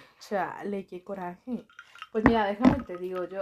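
This is a woman with a normal speaking voice at a medium pitch. She talks at a moderate pace with fairly even intonation. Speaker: doctor, podcast guest. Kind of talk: casual chat.

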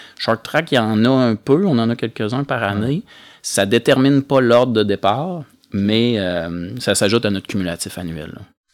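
A man with a Quebec accent talks at a moderate pace and medium pitch, with lively intonation. The recording is very clean, with a silent background. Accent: Québécois French. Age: 40s. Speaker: amateur cross-country racer. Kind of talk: casual chat.

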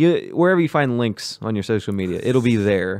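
A man speaks at a fairly quick pace with a medium pitch in an ordinary speaking voice. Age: 20s. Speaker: podcast host. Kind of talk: casual chat.

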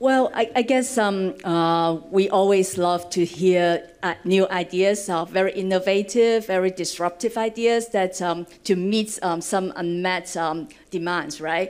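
On a very clean recording with a silent background, a woman with a Cantonese accent talks at a fairly slow pace with ordinary pitch variation. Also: medium pitch for a woman. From Hong Kong. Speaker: venture fund director. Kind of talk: panel discussion. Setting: stage with audience.

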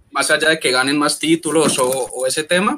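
With an unremarkable speaking voice, a man talks at a moderate pace using fairly even intonation. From Colombia. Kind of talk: panel discussion.

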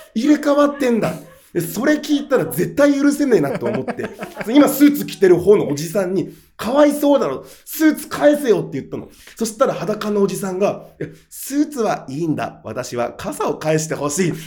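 Pitch swings very widely as a man speaks in a high, animated voice. His pace is moderate. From Japan, Aomori (Hachinohe). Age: 30s. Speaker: comedian. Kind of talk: casual interview chat. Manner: animated storytelling.

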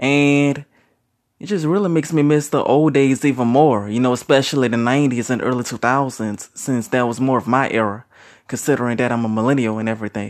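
Speaking in a normal speaking voice with an American accent, a man at a medium pitch talks at a fairly quick pace with ordinary pitch variation over a quiet background. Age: 30s. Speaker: youtuber sharing opinions. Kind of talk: solo monologue vlog. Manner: casual with many fillers.

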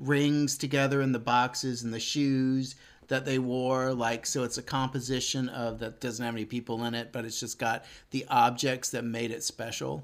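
This man has a plain, everyday voice, speaking at a moderate pace with an American accent and a medium pitch. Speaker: podcast co-host or guest. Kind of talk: casual conversation. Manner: rambling, many filler words.

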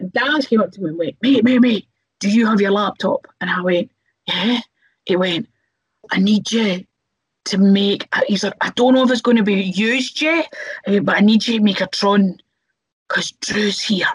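Pausing long and often, a woman talks at a moderate pace in a medium-pitched, somewhat breathy voice with ordinary pitch variation, in a dry, close sound with no echo. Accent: Scottish. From Scotland. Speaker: professional wrestler. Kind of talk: casual chat.

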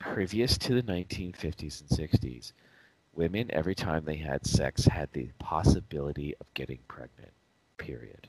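A man's very deep, low voice with vocal fry, fairly slow pace, lively intonation and big swings in loudness. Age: 40s. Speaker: podcast co-host. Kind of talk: casual chat.

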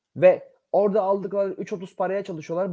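High-pitched for a man, this voice has a dark, mellow tone. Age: 40s. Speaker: football fan radio commentator. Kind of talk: casual chat. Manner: animated.

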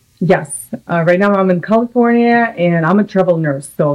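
A fairly low-pitched woman's voice with a Russian accent. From Russia (Samara). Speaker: nurse. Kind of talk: casual interview. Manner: animated.

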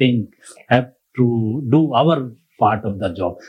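In an Indian accent, a man speaks very slowly with lively intonation. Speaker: audience member.

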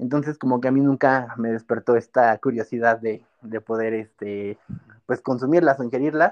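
At a moderate pace, a man speaks in a plain, everyday voice with medium pitch and fairly even intonation. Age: 20s. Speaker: youth political organizer and law student. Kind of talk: interview.

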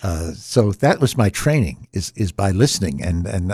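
A man talks at a fairly slow pace in an American accent, with lively intonation. His voice is somewhat breathy. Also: dry, close sound with no echo. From Norfolk, Virginia. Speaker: classical and jazz radio host. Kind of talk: interview. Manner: soft-spoken.

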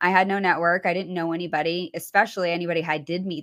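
With an American accent, a woman talks very fast in a fairly low pitch and a monotone, flat intonation. The recording is very clean, with a silent background. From New Hampshire, near Massachusetts border. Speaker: real estate agent. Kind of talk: interview.

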